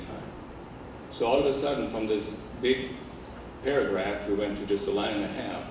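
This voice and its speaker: In a German accent, a man talks at a medium pitch with fairly even intonation, with audible room echo and noticeable background noise. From Germany. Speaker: organizational consultant and behavior analyst. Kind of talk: lecture.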